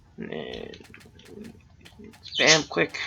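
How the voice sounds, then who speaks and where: A man speaks quietly. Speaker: gaming video creator. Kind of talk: gameplay commentary. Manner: halting.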